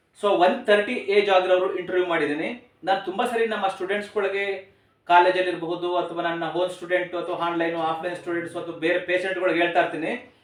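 A man speaks in a high pitch. His intonation is monotone and flat, and room echo is audible. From Karnataka, Mandya district. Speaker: ayurvedic doctor and channel host. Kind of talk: casual video interview.

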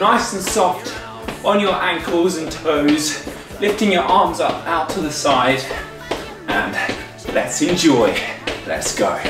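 A man speaks at a very slow pace with a high pitch, leaving long, frequent pauses. Audible room echo surrounds him, and clear music plays in the background. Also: ordinary pitch variation. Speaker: fitness instructor. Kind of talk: workout instruction. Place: home room.

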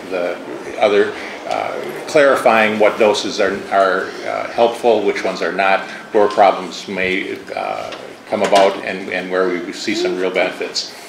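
Noticeable background noise behind a fairly slow pace. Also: man. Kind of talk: formal testimony. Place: hall. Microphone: podium.

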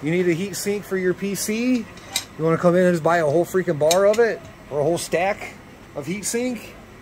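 The speech runs at a fairly quick pace with ordinary pitch variation. Noticeable background noise sits behind it. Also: man. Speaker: electronics hobbyist vlogger. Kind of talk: casual vlog chat. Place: shop. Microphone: phone near.

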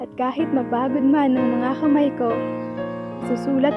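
A woman talks at a fairly slow pace. There is music behind her. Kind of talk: spoken word poetry.

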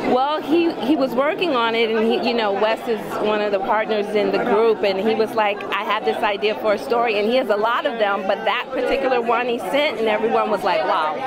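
Loud background noise sits behind a woman talking at a fairly quick pace with hardly any pauses, in a dry sound with no echo. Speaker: film producer and actor. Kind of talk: red carpet interview. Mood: excited, upbeat. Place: hall.

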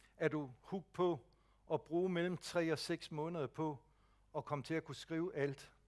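The background is quiet. The voice moves at a fairly slow pace with fairly even intonation. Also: man, fairly high pitch for a man. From Jutland, Denmark; Denmark. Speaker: speech technology advisor; presenter. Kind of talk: lecture. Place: hall.

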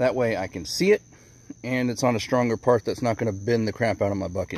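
With a fairly low pitch and fairly even intonation, a man speaks at a very fast pace in a dry sound with no echo. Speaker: tractor owner doing a DIY project. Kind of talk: casual vlog chat. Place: open country. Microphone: phone near.

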